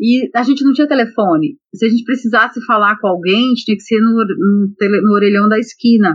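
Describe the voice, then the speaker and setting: A woman talks fairly quickly with hardly any pauses, sounding somewhat breathy at a fairly high pitch with very even loudness. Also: ordinary pitch variation. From Brazil, Belém (Pará). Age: 40s. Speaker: electrical engineer. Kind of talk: interview.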